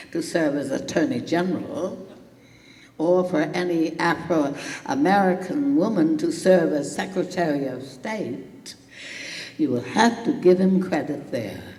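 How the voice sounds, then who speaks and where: Noticeable background noise sits behind a woman's fairly low voice. Her pitch swings very widely. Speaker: political activist. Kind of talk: keynote speech.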